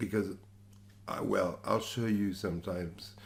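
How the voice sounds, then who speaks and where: A man's somewhat breathy voice with fairly even intonation and audible room echo. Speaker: guitar teacher. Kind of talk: tutorial. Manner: halting, many fillers and restarts.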